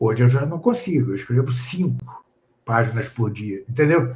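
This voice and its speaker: A somewhat breathy voice at a fairly slow pace. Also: man. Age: 70s. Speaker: professor and author. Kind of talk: casual interview on a live stream. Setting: online live stream. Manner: hesitant, many fillers.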